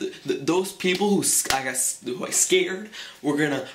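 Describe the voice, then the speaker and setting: A man talks at a fairly slow pace, with noticeable background noise underneath. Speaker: vlogger. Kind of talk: casual vlog storytelling. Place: home room. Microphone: webcam.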